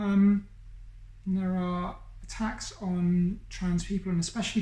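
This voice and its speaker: Breathy to a degree, a woman speaks at a medium pitch and a fairly slow pace in a dark, mellow tone. Her intonation is monotone and flat, and audible room echo surrounds her. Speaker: YouTuber. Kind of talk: personal coming-out monologue. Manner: hesitant, with fillers.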